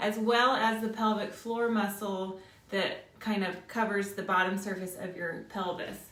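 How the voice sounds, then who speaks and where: A woman speaks in a calm tone at a medium pitch. Her voice carries audible room echo over noticeable background noise. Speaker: fitness instructor. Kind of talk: workout class instruction. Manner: calm, guiding breathwork cues.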